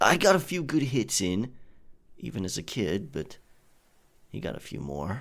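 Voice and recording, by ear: Putting on a character voice, a man speaks at a fairly slow pace with a fairly low pitch, a fairly bright tone and very wide pitch swings.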